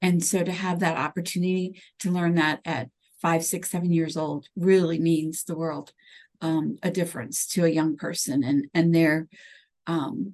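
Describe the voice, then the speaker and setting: A woman has an unremarkable speaking voice at fairly low pitch. She keeps a moderate pace with ordinary pitch variation. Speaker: university program coordinator. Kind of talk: interview.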